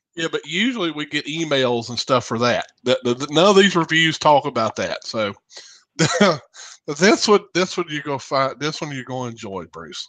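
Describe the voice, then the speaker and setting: A man with a Southern US accent talks at a moderate pace, his pitch fairly high. His tone is bright and sharp, and his intonation is lively. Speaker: radio show host. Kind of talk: casual chat.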